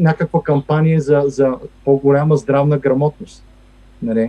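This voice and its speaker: Speaking very slowly, a man has a fairly high pitch. The sound is dry and close, with no echo. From Bulgaria, Stara Zagora. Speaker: economist and federal employee. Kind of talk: interview. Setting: remote recording. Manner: halting with many fillers.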